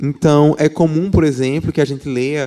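Heard in a very clean recording with a silent background, the speaker has a Paraíba accent and a dark, mellow tone. The pace is moderate and the intonation fairly even. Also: man. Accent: Paraíba (northeastern Brazilian). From Paraíba, Brazil. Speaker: political scientist and professor. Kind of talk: church talk interview.

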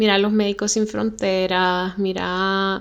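Very slowly, a woman speaks at a medium pitch with monotone, flat intonation on a very clean recording with a silent background. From Honduras (Tegucigalpa, La Ceiba). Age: 20s. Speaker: podcast host. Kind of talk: personal storytelling monologue.

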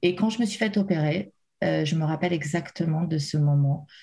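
At a moderate pace, a woman speaks somewhat breathily in a fairly low pitch with ordinary pitch variation. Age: 30s. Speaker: bereaved mother sharing her story. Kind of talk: emotional testimony. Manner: halting, many hesitations.

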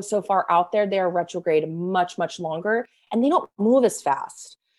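A woman with an ordinary speaking voice talks fairly slowly at a medium pitch with ordinary pitch variation, in a very clean recording with a silent background. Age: 30s. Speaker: astrologer. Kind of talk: interview.

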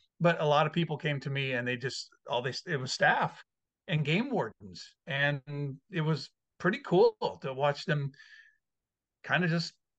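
A man with an American accent speaks at a moderate pace in a fairly high pitch with ordinary pitch variation, the sound dry and close with no echo against a quiet background. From Washington State, US (Puyallup). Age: 50s. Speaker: hunting advocacy group leader. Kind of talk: casual interview; public testimony.

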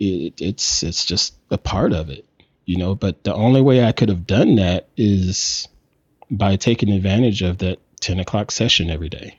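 Speaking with an American accent, a man has an unremarkable speaking voice at a fairly low pitch. His pace is moderate and his pitch variation ordinary. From US South. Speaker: photographer and content creator. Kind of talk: casual chat.

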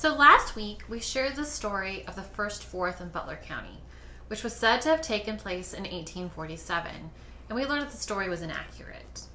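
Amid noticeable background noise, a woman with an American accent talks at a moderate pace, her medium-pitched voice showing lively intonation and big swings in loudness. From Kansas. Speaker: museum curator. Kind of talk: casual interview chat.

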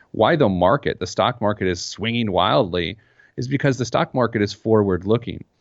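Fairly low in pitch, a man talks at a fairly quick pace with lively intonation. He has an unremarkable speaking voice. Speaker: financial expert. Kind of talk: interview conversation. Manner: humorous, conversational.

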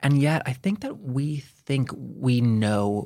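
A man uses an ordinary speaking voice, pitched medium, and his pitch varies in an ordinary way. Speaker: podcast host. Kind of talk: interview.

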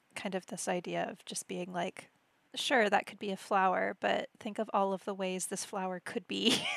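Vocal fry runs through a woman's medium-pitched voice as she speaks at a moderate pace. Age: 30s. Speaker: podcast host. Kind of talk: casual interview chat. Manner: animated, laughs often.

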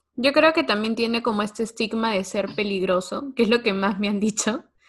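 Against a quiet background, a woman's somewhat breathy voice sits at a fairly high pitch with ordinary pitch variation. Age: young. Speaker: podcast host, guest. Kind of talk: casual chat.

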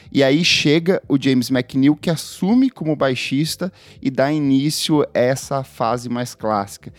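With an ordinary speaking voice, a man of fairly high pitch talks at a fairly slow pace and with ordinary pitch variation, the sound dry and close with no echo. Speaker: podcast host. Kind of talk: casual chat about music; scripted narration.

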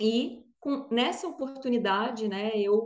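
A woman speaks very slowly in a high voice, her pitch varying in an ordinary way. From Brazil, Brasília. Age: 30s. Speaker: startup founder and engineer. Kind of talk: interview. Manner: hesitant fillers.

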